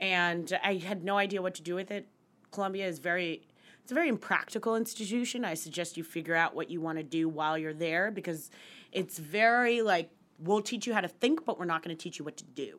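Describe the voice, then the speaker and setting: A woman with a plain, everyday voice talks at a fairly quick pace, her medium pitch showing ordinary variation. The recording is very clean, with a silent background. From West Virginia and central Pennsylvania. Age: 30s. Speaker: finance journalist. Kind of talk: casual interview.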